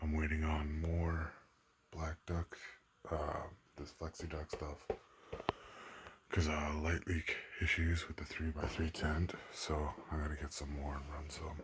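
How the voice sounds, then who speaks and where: Quiet and somewhat breathy, a man speaks in a very deep, low pitch with monotone, flat intonation, a fairly slow pace and long, frequent pauses. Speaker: home grower vlogger. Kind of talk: casual tutorial vlog. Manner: speaking under breath, quiet.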